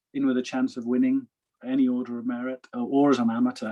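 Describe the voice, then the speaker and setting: A man with a Welsh accent, fairly quick in pace, with very wide pitch swings. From Wales. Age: 50s. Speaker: professional golfer. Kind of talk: interview.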